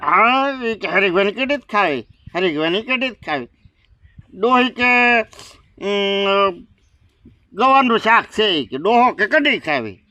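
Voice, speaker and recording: A man uses a put-on character voice, raised and projected, at a high pitch, with lively intonation and a fairly slow pace. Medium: comedy sketch. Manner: drowsy, slow, shrugging.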